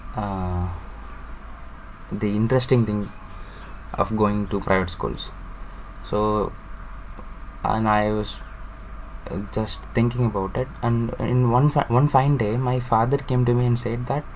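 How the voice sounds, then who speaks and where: Pausing often and at length, a man with a Tamil Indian accent speaks at a fairly slow pace and medium pitch with fairly even intonation, over noticeable background noise. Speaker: student vlogger. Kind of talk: personal vlog monologue. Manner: halting, many fillers.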